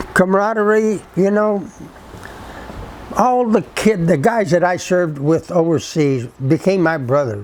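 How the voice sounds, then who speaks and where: Speaking fairly slowly at a high pitch, a man keeps his loudness very even over noticeable background noise. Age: 80s+. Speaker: WWII army veteran. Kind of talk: interview answer.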